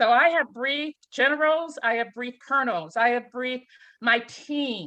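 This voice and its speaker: Her high-pitched voice has a bright, sharp tone, and the woman moves at a moderate pace with lively intonation. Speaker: panelist, IT supervisor. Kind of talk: panel talk.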